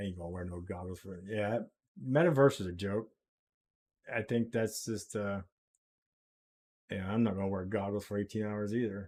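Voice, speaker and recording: Long, frequent pauses break up a man's speech in an American accent, fairly low-pitched with ordinary pitch variation and a moderate pace, in a very clean recording with a silent background. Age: 60s. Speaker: crypto live streamer. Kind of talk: live stream chat. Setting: live stream with background music. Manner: casual, hesitant with fillers.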